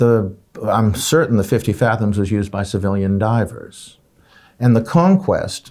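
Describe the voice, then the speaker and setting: With an unremarkable speaking voice, a man talks at a fairly slow pace and fairly low pitch with ordinary pitch variation, in a very clean recording with a silent background. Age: 60s. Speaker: watch journalist and collector. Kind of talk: casual interview.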